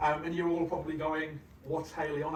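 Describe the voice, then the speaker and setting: A fairly high-pitched man in a British accent at a fairly quick pace, with audible room echo and noticeable background noise. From UK. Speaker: conference speaker, engineering executive. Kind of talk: conference talk. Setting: stage with audience. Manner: hesitant, many fillers.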